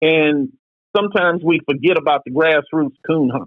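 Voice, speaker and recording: The speaker has an American accent and talks at a moderate pace. The pitch varies in an ordinary way. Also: man. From Detroit, Michigan, US Midwest. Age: 60s. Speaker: coon hunter. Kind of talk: podcast interview. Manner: halting, repeats words.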